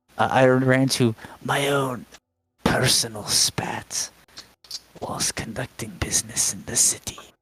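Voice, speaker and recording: A man puts on a strained character voice at medium pitch. He talks fairly slowly, with long, frequent pauses. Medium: actual play. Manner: grandiloquent, flowery, hesitant.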